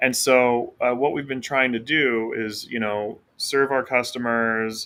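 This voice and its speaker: On a very clean recording with a silent background, a man speaks at medium pitch in a bright, sharp tone, with monotone, flat intonation and a fairly slow pace. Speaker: company founder presenting updates. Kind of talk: casual screen-share presentation. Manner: hesitant, many fillers.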